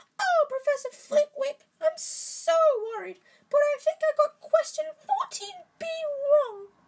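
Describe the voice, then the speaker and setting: A female-sounding voice in a put-on character voice speaks at a fairly slow pace with an extremely high pitch. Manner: mocking, fretful.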